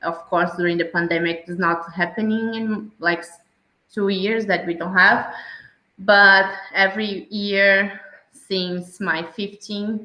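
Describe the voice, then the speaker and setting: Very slow speech in a Santa Catarina accent, with fairly even intonation. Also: woman. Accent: Brazilian (Santa Catarina). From southern Brazil (Santa Catarina, near Blumenau). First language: Portuguese. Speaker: travel podcast guest. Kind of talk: interview, casual chat. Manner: hesitant, many fillers and repeats.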